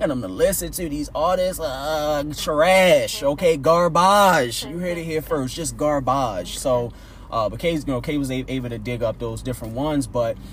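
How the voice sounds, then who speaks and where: With an American accent and a fairly high pitch, a man speaks at a moderate pace with hardly any pauses and ordinary pitch variation over noticeable background noise. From West Baltimore, Maryland. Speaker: podcast host. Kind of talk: casual chat.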